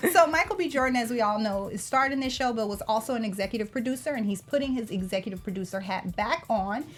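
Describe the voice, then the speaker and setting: A woman's very fast, somewhat breathy, fairly high voice with an American accent, lively intonation and hardly any pauses. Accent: slight Southern accent, worked on. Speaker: TV aftershow co-host. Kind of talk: casual chat.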